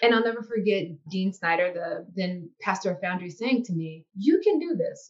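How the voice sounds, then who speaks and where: A somewhat breathy woman with an American accent speaks at a moderate pace with lively intonation. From US South, Biloxi, Mississippi Gulf Coast. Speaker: university chaplain and dean. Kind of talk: interview.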